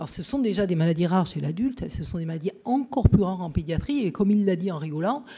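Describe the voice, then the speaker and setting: A woman with a Marseille accent has a dark, mellow, somewhat breathy tone. Her fairly low voice moves at a fairly quick pace. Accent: southern French (Marseille). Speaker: pediatrician. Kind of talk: conference talk. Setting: lecture hall with audience. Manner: hesitant, many filler sounds.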